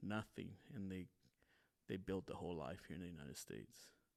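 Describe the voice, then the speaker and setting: With vocal fry and ordinary pitch variation, a man talks at a very deep, low pitch. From California, US. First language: Spanish. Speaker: podcast host. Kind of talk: casual monologue podcast. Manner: halting, many fillers and repeats.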